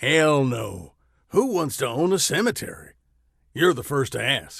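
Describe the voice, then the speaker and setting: A man uses a gruff, put-on character voice at a fairly high pitch. He speaks at a moderate pace with very wide pitch swings. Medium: read story. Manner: growling, blunt.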